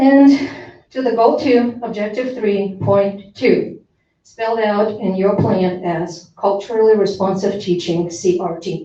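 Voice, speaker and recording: A woman talks at a fairly slow pace and medium pitch with ordinary pitch variation, and audible room echo surrounds her voice. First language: not English. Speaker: parent speaking at public comment. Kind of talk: public comment at school board meeting. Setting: school board meeting. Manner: formal.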